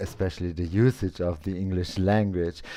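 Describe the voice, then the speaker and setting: A man speaks with a German accent. The background is quiet. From Austria. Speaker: English learner, live stream host. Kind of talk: casual chat. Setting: live stream with Zoom guest. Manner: halting.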